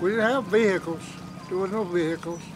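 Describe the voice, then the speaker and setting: Over noticeable background noise and audible room echo, a man speaks at a high pitch with fairly even intonation. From US South, western North Carolina (Cherokee reservation). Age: 80s+. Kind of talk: interview, personal reminiscence. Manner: halting, many fillers.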